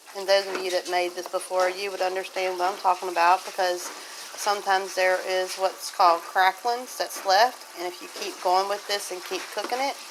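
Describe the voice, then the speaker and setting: A woman at a moderate pace with monotone, flat intonation amid noticeable background noise. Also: medium pitch for a woman. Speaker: homesteader. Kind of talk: casual how-to talk to camera.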